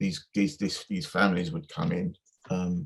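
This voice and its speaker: The speaker has an English accent and a moderate pace. The pitch swings very widely. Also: man. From Essex, England. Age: 50s. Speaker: music producer. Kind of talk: interview. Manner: halting.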